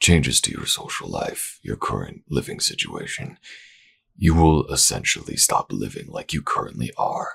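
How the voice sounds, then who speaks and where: A man performs a put-on character voice. He speaks at a medium tempo. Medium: read story. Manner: formal, authoritative.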